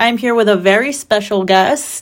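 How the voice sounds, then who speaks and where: At a fairly slow pace, a woman speaks in a plain, everyday voice, fairly high in pitch with ordinary pitch variation. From Mexico-born, raised in US. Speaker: podcast host. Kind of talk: casual interview.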